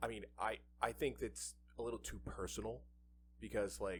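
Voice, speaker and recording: At a moderate pace, a man talks with vocal fry in a very deep, low pitch. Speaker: podcast co-host. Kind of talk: casual chat. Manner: soft-spoken. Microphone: too far from the mic.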